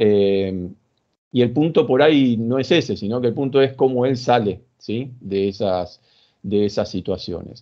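The speaker has an Argentine accent. The pace is fairly slow. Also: man, ordinary pitch variation, quiet background. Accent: Rioplatense Argentine Spanish. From Argentina. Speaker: sports psychologist; guest. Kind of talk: interview. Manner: halting, many fillers. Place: home room. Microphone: video call.

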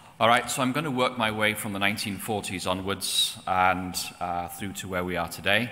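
Moderately paced, a man's very deep, low voice moves with ordinary pitch variation. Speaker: presenter. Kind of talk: lecture. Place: church. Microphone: podium.

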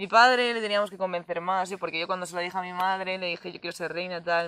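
Very fast speech from a woman with a fairly low pitch and fairly even intonation, a dry sound with no echo, and a quiet background. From Spain, Valencia region (Enguera); Valencia region, Spain. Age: 20s. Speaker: nursing student, festival queen. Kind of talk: interview. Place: open country. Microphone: lapel.

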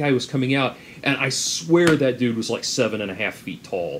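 Medium-pitched male voice at a moderate pace, with ordinary pitch variation and light background noise. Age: 30s. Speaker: YouTube commentator. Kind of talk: commentary monologue. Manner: halting, many fillers. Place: home room. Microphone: webcam.

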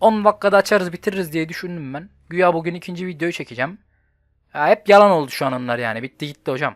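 A very fast pace with big swings in loudness, ordinary pitch variation, and a dry, close sound with no echo on a very clean recording with a silent background. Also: man, high pitch for a man. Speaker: gaming youtuber. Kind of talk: gameplay commentary. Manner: animated.

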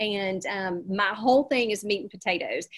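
A woman speaks in a Southern US accent. The background is quiet. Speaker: real estate coach and presenter. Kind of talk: energetic, folksy presentation. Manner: fast talker. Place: home room. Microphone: webcam.

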